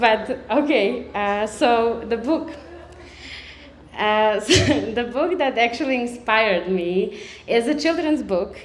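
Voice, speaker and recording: Speaking very slowly in a Slovak accent, a woman with a fairly high pitch uses lively intonation, and audible room echo surrounds her voice. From Serbia, Slovak-speaking minority. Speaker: storyteller. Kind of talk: storytelling. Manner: halting, many fillers.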